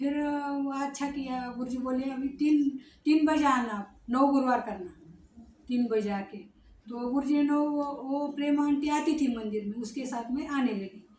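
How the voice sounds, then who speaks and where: Audible room echo carries a woman's high-pitched voice with ordinary pitch variation. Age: 60s. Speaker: devotee. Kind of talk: testimony. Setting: ashram. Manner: halting.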